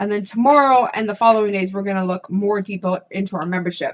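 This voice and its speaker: A woman's fairly high voice in an animated tone. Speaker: membership business coach. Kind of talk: live webinar teaching. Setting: livestream on YouTube.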